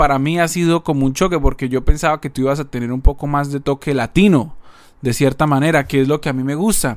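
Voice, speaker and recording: With a plain, everyday voice, a man talks at a fairly quick pace, his fairly high pitch varying in an ordinary way. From Colombia. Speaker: podcast co-host. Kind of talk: casual chat.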